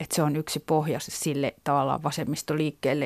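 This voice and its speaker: With a very deep, low pitch, a woman talks at a moderate pace in a dry, close sound with no echo. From Finland, urban. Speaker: novelist. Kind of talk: interview.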